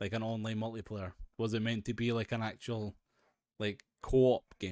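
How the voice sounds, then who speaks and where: A man with a Scottish accent talks at a moderate pace in a fairly low pitch and a monotone, flat intonation, with a dry, close sound, no echo, and a very clean recording over a silent background. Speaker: gaming podcast co-host. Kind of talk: casual chat.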